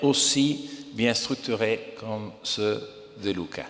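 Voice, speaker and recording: The speaker has an Italian accent. There is noticeable background noise. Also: man. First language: Italian (speaking French). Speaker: investor. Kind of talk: conference talk.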